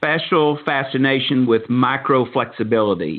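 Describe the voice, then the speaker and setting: This man speaks at medium pitch with a strong Southern accent. His pace is fairly slow, with ordinary pitch variation. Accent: Southern, he calls it thick. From Texas, Dallas. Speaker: podcast host. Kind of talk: interview. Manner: hesitant, many fillers.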